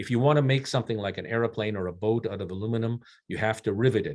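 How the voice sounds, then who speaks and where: A man with a fairly low pitch and fairly even intonation has an unremarkable speaking voice. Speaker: mining company executive. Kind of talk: investor presentation.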